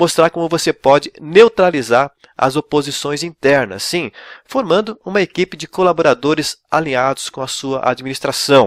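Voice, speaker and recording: In a dry, close sound with no echo, a man with an ordinary speaking voice talks at a fairly high pitch with lively intonation. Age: 60s. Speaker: pastor and ministry coach. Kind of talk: online lecture. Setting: recorded video.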